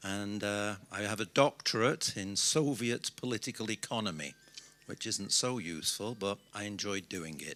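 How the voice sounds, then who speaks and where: A man with a British accent speaks at a fairly slow pace in a bright, sharp tone with ordinary pitch variation, on a very clean recording with a silent background. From Britain. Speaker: business consultant. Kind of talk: conference speech.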